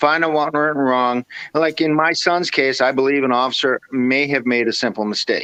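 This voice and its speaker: A man with an American accent speaks at a fairly quick pace and fairly high pitch, with ordinary pitch variation, in a normal speaking voice. The sound is dry and close, with no echo. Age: 60s. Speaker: activist father of police shooting victim. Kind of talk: interview. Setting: video call on smartphone. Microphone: smartphone.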